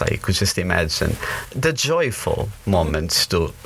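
Over noticeable background noise, a man with a Portuguese accent speaks at a fairly low pitch. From northern Portugal, moved to US at 17. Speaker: campus minister. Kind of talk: interview conversation. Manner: animated; hesitant, with fillers and repetitions.

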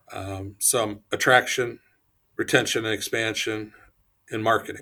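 In a very clean recording with a silent background, a man with a Midwestern American accent speaks at a moderate pace, his fairly low, bright, sharp voice keeping a fairly even intonation. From Ohio. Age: 60s. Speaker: economic development executive. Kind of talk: interview.

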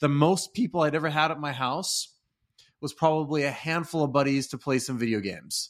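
A man with an American accent has a normal speaking voice at a fairly high pitch. He talks at a fairly quick pace with ordinary pitch variation. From US Pacific Northwest (Redmond, Washington). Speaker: leadership consultant. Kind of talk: interview.

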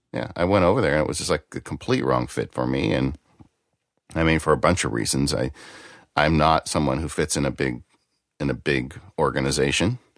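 A man's very deep, low voice with vocal fry, at a fairly quick pace, in dry, close sound with no echo. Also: ordinary pitch variation. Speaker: lawyer and author. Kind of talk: casual chat.

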